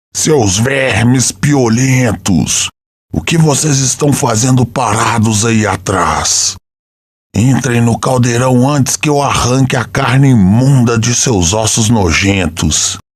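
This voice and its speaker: A man's shouting, bellowing put-on character voice, guttural and medium in pitch, at a fairly slow pace. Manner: bellowing, threatening, shouting orders.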